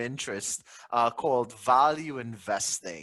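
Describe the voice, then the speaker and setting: A man in a Trinidadian accent, medium pitch and ordinary pitch variation, fairly slow pace, quiet background. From Trinidad and Tobago. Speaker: tech company co-founder. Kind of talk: podcast interview.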